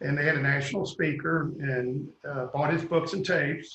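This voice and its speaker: A man's fairly high voice with a Kentucky accent, at a fairly quick pace. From Kentucky, Louisville. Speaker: real estate developer. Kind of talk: interview.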